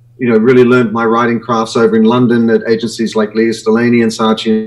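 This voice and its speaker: This man has an Australian accent and a medium pitch. He talks at a fairly quick pace. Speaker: branding consultant and author. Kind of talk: live web show interview.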